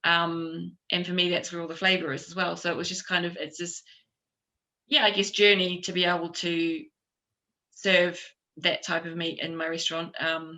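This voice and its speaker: With a New Zealand accent, a woman speaks at a moderate pace in a fairly low, flat, monotone pitch, her loudness swinging widely and her pauses long and frequent. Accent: New Zealand twang. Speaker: chef and restaurant owner. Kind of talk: conference panel discussion. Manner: hesitant, many fillers.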